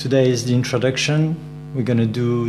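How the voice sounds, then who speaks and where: Speaking with a French accent, a man uses a medium pitch and ordinary pitch variation at a fairly quick pace. Audible room echo and noticeable background noise surround him. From France. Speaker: meditation teacher. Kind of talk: meditation class instruction.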